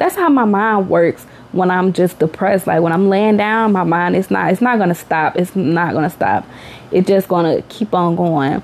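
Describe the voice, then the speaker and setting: An animated woman at medium pitch and a moderate pace, with noticeable background noise. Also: ordinary pitch variation, very even loudness. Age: 30s. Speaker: podcast host, mother. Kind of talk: casual monologue.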